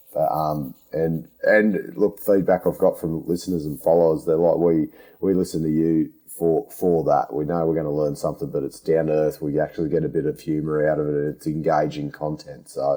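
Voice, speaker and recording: A man talks at a fairly quick pace in a strong Australian accent. Music plays in the background. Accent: broad Australian. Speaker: podcast host, underground miner. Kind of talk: interview. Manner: casual, down-to-earth; halting, stammering.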